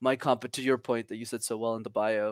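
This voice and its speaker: A man at a medium pitch is heard dry and close with no echo, on a very clean recording over a silent background. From Montreal, Canada. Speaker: communication coach and founder. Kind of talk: casual interview chat. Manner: animated, confident, motivational.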